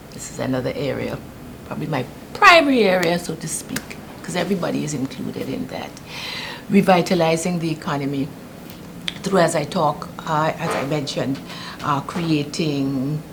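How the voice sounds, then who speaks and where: With a British Virgin Islands accent, the speaker moves at a moderate pace with ordinary pitch variation, big swings in loudness and long, frequent pauses over noticeable background noise. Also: woman, very deep, low pitch for a woman. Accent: British Virgin Islands Caribbean English. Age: 70s. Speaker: political candidate. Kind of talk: interview. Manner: halting.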